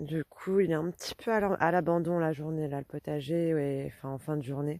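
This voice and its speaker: At a moderate pace, a woman speaks with a very deep, low pitch in a dry, close sound with no echo. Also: very clean recording, silent background. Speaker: gardening vlogger. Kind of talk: casual vlog. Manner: conversational, hesitant with fillers.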